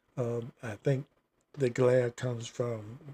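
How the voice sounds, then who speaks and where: A somewhat breathy voice with an American accent, dry and close with no echo. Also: man. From Virginia. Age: 70s. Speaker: livestreamer. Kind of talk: casual chat. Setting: home studio livestream. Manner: halting.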